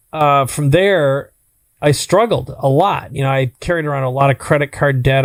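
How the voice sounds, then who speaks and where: Fairly quick male speech in a fairly high pitch with an Upper Midwest accent and ordinary pitch variation. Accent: Upper Midwest American. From US Midwest, Minnesota. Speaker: entrepreneur. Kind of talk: podcast interview.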